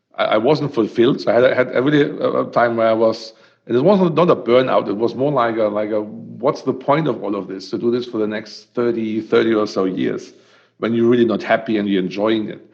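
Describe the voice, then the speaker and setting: The speaker has a strong German accent and a fairly quick pace. There is vocal fry, and the pitch varies in an ordinary way. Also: man, medium pitch for a man. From Germany. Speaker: startup co-founder. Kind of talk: podcast interview. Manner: hesitant, many fillers and repetitions.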